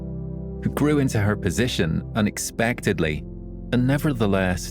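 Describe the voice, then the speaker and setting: Over music in the background, a man with a Scottish accent speaks with very wide pitch swings. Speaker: storyteller. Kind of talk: sleep story.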